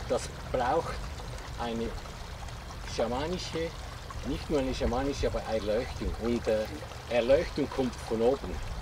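Long, frequent pauses break up the speech, and noticeable background noise sits behind it. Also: moderate pace. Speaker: workshop participant. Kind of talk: casual group discussion. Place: garden.

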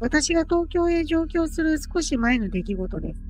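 A woman's squeaky, put-on character voice at an extremely high pitch and moderate pace, with clear background noise. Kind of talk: Japanese ghost story (kaidan) narration. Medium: virtual streamer. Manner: formal, polite, measured.

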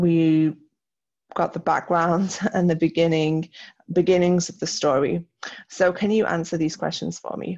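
Over a quiet background, a woman speaks slowly-ish at a fairly slow pace, with a fairly low pitch and fairly even intonation. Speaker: teacher. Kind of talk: recorded lesson tutorial. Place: home room.

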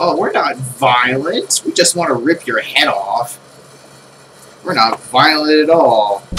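Noticeable background noise sits behind a man speaking at a very slow pace. His pitch is fairly high, with lively intonation. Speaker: gaming YouTuber. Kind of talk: let's play commentary. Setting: at home. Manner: casual, rambling. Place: home room. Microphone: headset.

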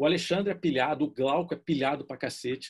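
A man delivers his words at a moderate pace, his pitch varying in an ordinary way, with a quiet background. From Brazil. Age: 50s. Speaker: art director; interviewee. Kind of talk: casual interview. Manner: informal, slangy. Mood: relaxed, casual, joking. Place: home room. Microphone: video call.

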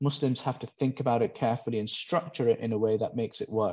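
The voice belongs to a man with a dark, mellow tone. His pitch varies in an ordinary way. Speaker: guest. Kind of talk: interview answer. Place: home room. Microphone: earbuds.

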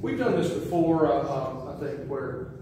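Through strong room echo and noticeable background noise, a man speaks at a moderate pace with fairly even intonation. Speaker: pastor giving announcements. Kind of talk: church announcements. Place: church.

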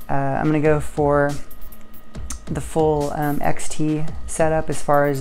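A woman talks in a very deep, low pitch with monotone, flat intonation. Faint music plays in the background. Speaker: bike racer vlogger. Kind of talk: casual vlog chat. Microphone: lapel.

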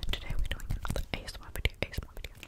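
A woman whispers at a fairly quick pace. She is soft-spoken throughout. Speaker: ASMR creator. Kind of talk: whispered ASMR chat. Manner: soft close-mic ASMR whisper. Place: home room. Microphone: studio mic.

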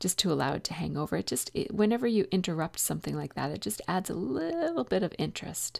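Soft-spoken, the speaker talks at a very fast pace with hardly any pauses. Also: woman. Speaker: scrapbooking video creator. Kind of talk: tutorial. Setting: home, early morning.

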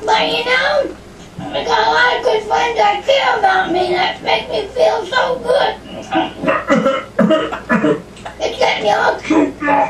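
A cartoonish character voice at a fairly slow pace, with long, frequent pauses and light background noise. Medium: puppet.

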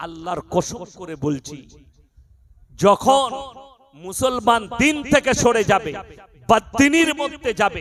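With very wide pitch swings, a man speaks in an animated tone at a high pitch. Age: 30s. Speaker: Islamic preacher. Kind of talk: sermon.

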